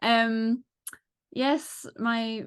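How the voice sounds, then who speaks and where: A woman with an English accent against a quiet background. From England. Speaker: model maker, reality show contestant. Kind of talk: casual interview.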